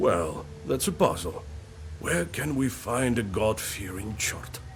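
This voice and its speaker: Over clear background music, a man does a put-on character voice, fairly low in pitch and fairly slow in pace. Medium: video game.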